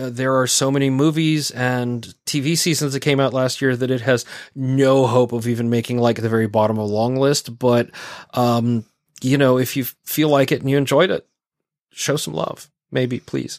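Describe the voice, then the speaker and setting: This man has a medium pitch and a normal speaking voice. He talks at a moderate pace with fairly even intonation. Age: 40s. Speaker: podcast host and writer. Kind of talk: casual chat; reading aloud listener letters.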